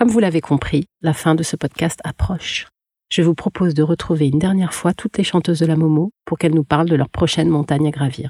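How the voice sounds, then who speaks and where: Dark and mellow in tone, a woman's fairly low voice is somewhat breathy, with ordinary pitch variation and very even loudness at a fairly quick pace. The sound is dry and close, with no echo. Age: 40s. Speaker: podcast producer and singing student. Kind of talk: scripted narration.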